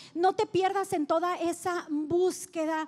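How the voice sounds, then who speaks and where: Her pitch is extremely high as a woman speaks. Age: 40s. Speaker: pastor. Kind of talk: sermon. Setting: church. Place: stage. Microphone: handheld.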